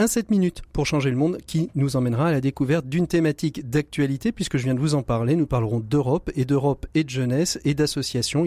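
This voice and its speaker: At a very fast pace with hardly any pauses, a man with a fairly high pitch and a dark, mellow tone keeps his loudness very even and his pitch variation ordinary, in a dry, close sound with no echo. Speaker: radio host. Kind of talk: radio magazine presenting and interviewing. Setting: radio studio.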